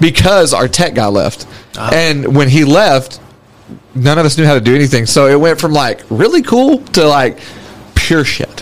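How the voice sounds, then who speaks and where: With noticeable background noise, a man speaks at a moderate pace using lively intonation. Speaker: podcast co-host. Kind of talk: casual chat. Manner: laid-back, jokey.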